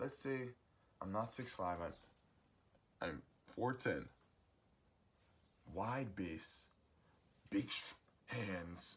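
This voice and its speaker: At a very slow pace, a somewhat breathy man speaks with long, frequent pauses. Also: lively intonation. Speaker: musician sharing life advice. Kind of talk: motivational monologue.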